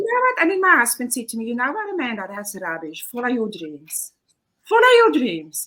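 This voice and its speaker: A woman with a South African accent talks at a fairly quick pace, her high pitch moving in very wide swings and her loudness shifting a lot. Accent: Afrikaans accent in English. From South Africa, Pretoria. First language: Afrikaans. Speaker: kindergarten teacher. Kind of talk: casual chat.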